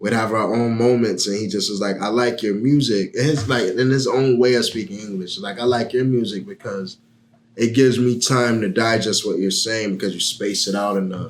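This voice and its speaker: A man with a normal speaking voice talks at a medium pitch and moderate pace, his intonation fairly even. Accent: American. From Miami, Florida. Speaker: rapper. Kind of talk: podcast interview.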